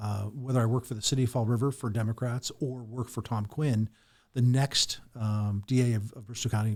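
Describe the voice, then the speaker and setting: A man's somewhat breathy, medium-pitched voice moves at a moderate pace with fairly even intonation on a very clean recording with a silent background. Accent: American. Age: 50s. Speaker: lawyer and political candidate. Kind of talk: podcast interview.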